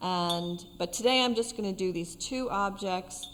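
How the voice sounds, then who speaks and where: A woman's medium-pitched voice with an American accent, ordinary pitch variation, an unremarkable speaking voice, and a fairly slow pace. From US East Coast. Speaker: artist and art teacher. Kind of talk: tutorial. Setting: art centre studio.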